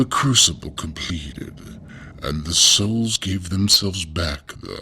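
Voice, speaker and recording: A man uses a put-on character voice with a very deep, low pitch. Clear background noise runs underneath. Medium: audio drama. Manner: slow, solemn, formal.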